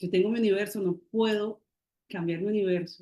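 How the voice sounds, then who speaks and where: At a moderate pace, a woman speaks with monotone, flat intonation and a dark, mellow tone. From Colombian Caribbean, Barranquilla. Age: 40s. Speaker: writer and poet. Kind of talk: interview.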